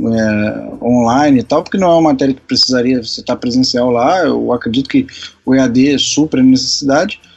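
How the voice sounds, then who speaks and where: A man holds fairly even intonation at a moderate pace while noticeable background noise plays behind him. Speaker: podcast host, civil engineering student. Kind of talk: casual chat.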